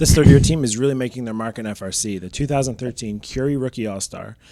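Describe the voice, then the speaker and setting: This man's tone is dark and mellow, with ordinary pitch variation. He talks at a very fast pace on a very clean recording with a silent background. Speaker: robotics competition show co-host. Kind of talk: scripted rankings commentary.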